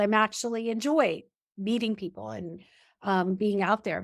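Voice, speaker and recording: An ordinary speaking voice is heard with ordinary pitch variation. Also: woman, very clean recording, silent background. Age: 50s. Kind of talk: podcast conversation.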